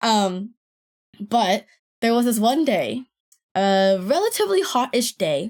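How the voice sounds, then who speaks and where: Pausing long and often, a woman with fairly high pitch and lively intonation talks at a fairly slow pace. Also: very even loudness. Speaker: podcaster. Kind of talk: casual chat.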